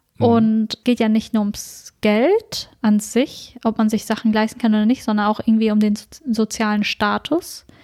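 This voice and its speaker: A woman with an ordinary speaking voice at a fairly high pitch, moderate pace, fairly even intonation and very even loudness, in a dry, close sound with no echo. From northern Germany, Ostfriesland. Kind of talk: casual chat.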